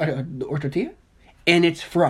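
An animated, somewhat breathy woman with an American accent at a fairly slow pace. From US Midwest, Dayton, Ohio. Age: 20s. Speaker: podcast co-host. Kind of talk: casual debate.

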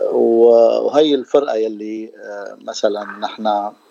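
In a dry, close sound with no echo, a man of medium pitch speaks over noticeable background noise. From Syria (Damascus). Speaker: percussionist. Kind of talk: radio interview. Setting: radio studio. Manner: halting.

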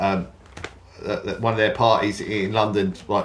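Against noticeable background noise, a man talks with a southern English accent. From southern England, Kent. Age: 40s. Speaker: DJ and festival organiser. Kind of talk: casual chat.

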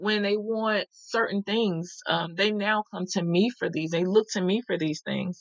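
A woman speaks in an American accent with an unremarkable speaking voice at medium pitch. Her fairly even intonation comes through in a dry, close sound with no echo. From US South. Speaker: step family coach. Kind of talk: interview.

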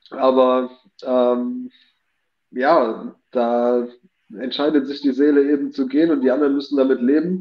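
A man talks at a fairly slow pace, leaving long, frequent pauses. His pitch is medium and his intonation fairly even. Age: 30s. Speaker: guest on live talk show. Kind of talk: casual chat.

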